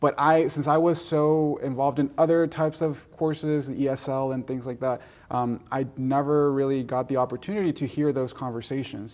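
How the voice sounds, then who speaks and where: A man with a Spanish accent talks at a moderate pace, his pitch fairly high and his intonation fairly even. The recording is very clean, with a silent background. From Mexico, raised in Gwinnett County, Georgia. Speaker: college alumnus. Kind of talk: interview. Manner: halting, many fillers and repetitions.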